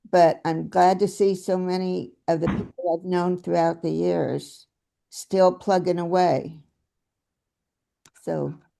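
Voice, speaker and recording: A woman speaks at a very slow pace. Her delivery has long, frequent pauses. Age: 80s+. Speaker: party committee member. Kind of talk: committee meeting introduction.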